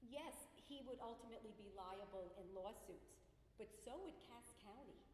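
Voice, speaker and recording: A woman's fairly high voice in a New Jersey accent, lively in intonation, at a moderate pace amid noticeable background noise and audible room echo. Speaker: resident speaking at public hearing. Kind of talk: public comment. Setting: public meeting hall with microphone.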